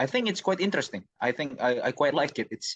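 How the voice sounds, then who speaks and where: A man with an Indonesian accent and lively intonation, in dry, close sound with no echo against a quiet background. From Indonesia, Jakarta. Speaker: university student. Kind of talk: interview. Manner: halting.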